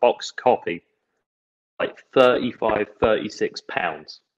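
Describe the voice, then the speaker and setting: Recorded with a dry, close sound and no echo, the speaker talks in an English accent. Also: man. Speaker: video game podcast co-host. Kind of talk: casual chat.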